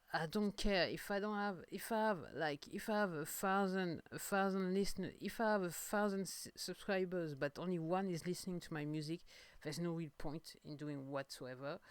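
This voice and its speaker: A woman with a strong French accent and a fairly low pitch, speaking at a moderate pace with ordinary pitch variation and hardly any pauses. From France. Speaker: singer-songwriter podcaster. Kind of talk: casual monologue podcast. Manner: halting, many fillers and repetitions.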